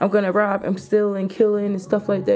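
The tone is animated. Background noise is noticeable. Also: woman. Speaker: podcast host. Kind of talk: casual monologue. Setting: home video recording.

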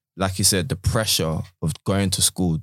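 A man with a London accent speaks in a very deep, low pitch at a fairly quick pace, his intonation flat and monotone. The recording is very clean and the background silent. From South London. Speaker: teacher. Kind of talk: casual chat.

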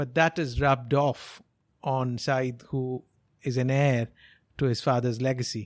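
Pausing long and often, a man speaks at a fairly slow pace in a medium pitch with fairly even intonation against a quiet background. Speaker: business consultant. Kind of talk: podcast commentary.

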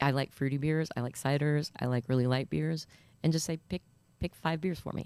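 An American accent with a dark, mellow tone and fairly even intonation. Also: woman, very deep, low pitch for a woman. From US Midwest, northeast Iowa. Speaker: restaurant beer program manager. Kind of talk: casual interview.

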